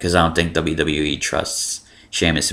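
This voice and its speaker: In a very clean recording with a silent background, a man with an American accent speaks at a very deep, low pitch, his tone bright and sharp with vocal fry. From Miami, Florida. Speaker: wrestling vlogger. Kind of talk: casual vlog commentary. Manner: monotone; hesitant, many fillers.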